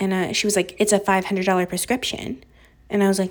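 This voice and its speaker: A woman with an American accent speaks very fast at a medium pitch. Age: 20s. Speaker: podcast host. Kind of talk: casual solo chat. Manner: casual, many fillers.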